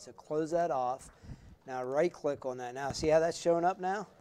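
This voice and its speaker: A man with a fairly high pitch, an unremarkable speaking voice and ordinary pitch variation. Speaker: university lecturer. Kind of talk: hands-on classroom tutorial. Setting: classroom with students.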